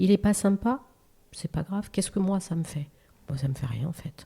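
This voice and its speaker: With a dark, mellow tone and a somewhat breathy quality, a woman speaks at a moderate pace with lively intonation. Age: 60s. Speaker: real estate agent. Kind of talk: casual interview chat.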